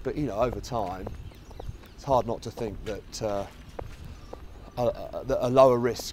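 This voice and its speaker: Man with a southeast English accent, fairly slow pace, long, frequent pauses and big swings in loudness, against noticeable background noise. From Kent, southeast England. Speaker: fund research head and podcast host. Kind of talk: casual interview on a walk. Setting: outdoors in a park. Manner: hesitant, many fillers.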